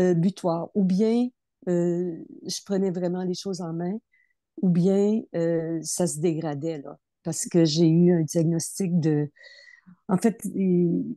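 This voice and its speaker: Very slow and full of long, frequent pauses, a woman speaks with a dark, mellow tone at a fairly low pitch and fairly even intonation, the sound dry and close with no echo. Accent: Quebec. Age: 70s. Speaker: program participant. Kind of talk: testimony. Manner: halting.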